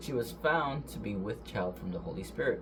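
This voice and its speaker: A man's voice carries audible room echo, with noticeable noise behind it. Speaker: bible reader. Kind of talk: reading aloud. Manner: fast; halting.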